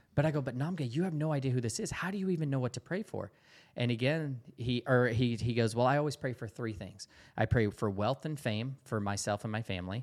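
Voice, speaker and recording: A very fast man with a Southern US accent and lively intonation, on a very clean recording with a silent background. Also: medium pitch for a man. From US South, Georgia. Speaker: missionary. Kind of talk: interview testimony.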